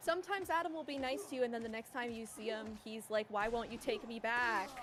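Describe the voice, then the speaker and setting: A woman at a fairly high pitch, very fast and animated, with lively intonation and noticeable background noise. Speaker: speedrun race commentator. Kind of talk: live commentary. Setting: livestream. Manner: casual, animated.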